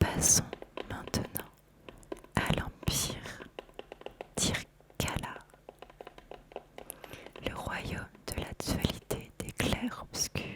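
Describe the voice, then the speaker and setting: Someone whispers at a very slow pace, with long, frequent pauses. Background noise is noticeable. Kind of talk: ASMR card deck presentation, reading card descriptions. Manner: whispered, soft-spoken.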